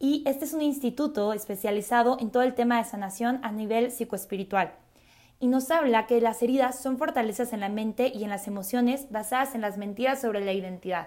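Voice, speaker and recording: In a very clean recording with a silent background, a woman speaks at a fairly quick pace. Her voice is fairly high in pitch, with a dark, mellow tone and ordinary pitch variation. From Mexico City. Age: 20s. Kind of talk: religious talk podcast.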